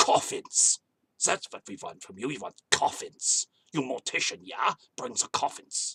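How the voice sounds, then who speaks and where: Putting on a character voice, a man speaks at a moderate pace in a fairly high pitch, with big swings in loudness. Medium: solo performance. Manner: curt, clipped demands.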